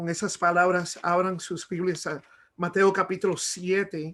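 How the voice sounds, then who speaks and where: Against a quiet background, a man speaks at a high pitch in a monotone, flat intonation. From Miami, Cuban-American family. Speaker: preacher. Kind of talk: sermon. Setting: video call. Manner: halting, many fillers.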